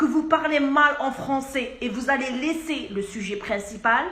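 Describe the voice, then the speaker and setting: A woman speaks with lively intonation, and some room echo can be heard. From Algeria. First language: Arabic (speaking French). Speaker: pharmacist. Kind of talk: video message. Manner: insistent.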